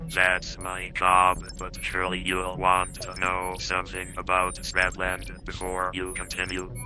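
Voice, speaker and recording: Putting on a character voice, a man speaks with a very deep, low pitch at a fairly slow pace over clear background noise. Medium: video game. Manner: chatty, matter-of-fact.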